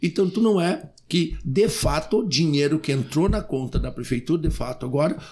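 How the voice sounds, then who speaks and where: Over a quiet background, a man with a dark, mellow tone talks at a moderate pace with ordinary pitch variation. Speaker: mayor. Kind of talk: interview. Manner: animated. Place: studio. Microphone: studio mic.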